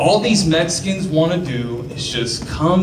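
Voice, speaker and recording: Heavy background noise runs loud beneath a man's speech. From Mexican-American, US. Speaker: stand-up comedian. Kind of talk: stand-up comedy. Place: stage. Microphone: handheld.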